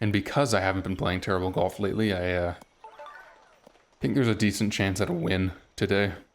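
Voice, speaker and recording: A man with a very deep, low pitch talks at a very fast pace, broken by long, frequent pauses. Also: fairly even intonation. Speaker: gaming YouTuber. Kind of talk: live gameplay commentary. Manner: fairly even, same tone whatever happens.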